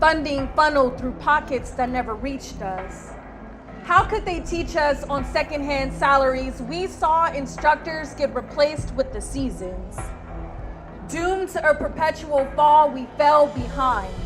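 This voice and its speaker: A woman with an American accent speaks fairly slowly at a high pitch with ordinary pitch variation. Music plays in the background. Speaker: spoken word poet. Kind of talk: spoken word poetry performance.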